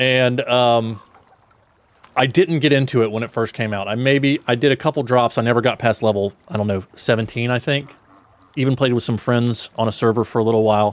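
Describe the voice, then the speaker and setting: Someone with an American accent talks at a fairly quick pace. The intonation stays fairly even. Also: man, medium pitch for a man. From South Georgia, US. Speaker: gaming streamer. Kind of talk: casual livestream chat.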